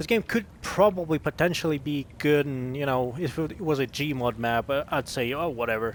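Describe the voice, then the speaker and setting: A man's fairly high voice at a moderate pace, with hardly any pauses. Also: ordinary pitch variation. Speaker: gaming youtuber. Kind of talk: gameplay commentary. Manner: halting, stumbling over words. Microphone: new microphone.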